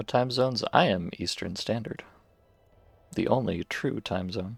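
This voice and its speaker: A man with an American accent talks at a fairly slow pace in a fairly low pitch, with ordinary pitch variation. His is an unremarkable speaking voice, and the sound is dry and close with no echo. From US. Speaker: video game streamer. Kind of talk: casual live-stream chat. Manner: casual, playful.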